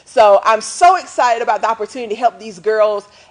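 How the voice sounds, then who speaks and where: Speaking at a fairly quick pace, a woman sounds animated, with lively intonation and noticeable noise in the background. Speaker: talk show host. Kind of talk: live show monologue.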